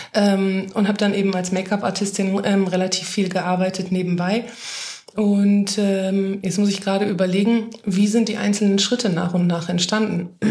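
Monotone, flat speech at a moderate pace and very even loudness, with noticeable background noise and audible room echo. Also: woman, medium pitch for a woman. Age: 30s. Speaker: make-up artist and influencer agency head. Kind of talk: casual interview chat.

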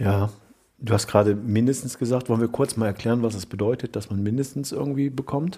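A man's medium-pitched, dark and mellow voice, somewhat breathy, very fast, with ordinary pitch variation. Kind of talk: casual chat.

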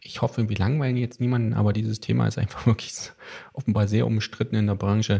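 A man with a fairly low pitch talks at a very fast pace with fairly even intonation. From Thuringia, eastern Germany. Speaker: podcast host, trade journal editor. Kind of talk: casual chat.

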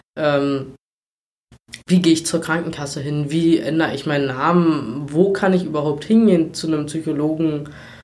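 Fairly high male voice with fairly even intonation and audible room echo. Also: moderate pace. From Brandenburg, Germany. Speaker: volunteer firefighter. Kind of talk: interview. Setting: in person at guest's town. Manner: hesitant with many fillers.

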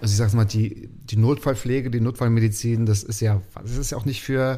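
On a very clean recording with a silent background, a man speaks very fast at a medium pitch, somewhat breathy, with a dark, mellow tone and fairly even intonation. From Mecklenburg, Waren an der Müritz. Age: 30s. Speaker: podcast host as guest. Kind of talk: casual interview chat. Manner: talkative.

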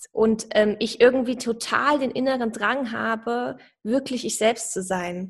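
Very slow delivery with fairly even intonation. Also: woman, fairly high pitch for a woman. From Saarland, Germany. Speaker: personal branding coach. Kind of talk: podcast interview.

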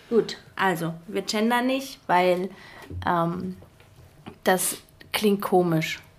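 Long, frequent pauses mark a woman's very slow speech at a medium pitch with ordinary pitch variation. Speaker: podcast co-host. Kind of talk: casual chat.

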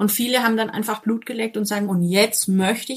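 A woman talks at a moderate pace in a medium pitch with fairly even intonation. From Franconia, northern Bavaria (near Coburg/Kronach). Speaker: dog trainer. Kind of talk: casual interview. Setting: video call from home office.

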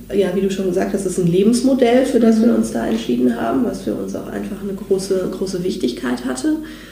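Noticeable noise fills the background. A woman talks amid audible room echo. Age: 30s. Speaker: personality development trainer. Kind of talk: interview.

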